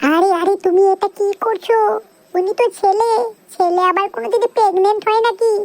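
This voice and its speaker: A woman puts on a cartoonish character voice with an extremely high pitch at a moderate pace. Her loudness stays very even, and the sound is dry and close with no echo. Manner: sharp-tongued, bossy.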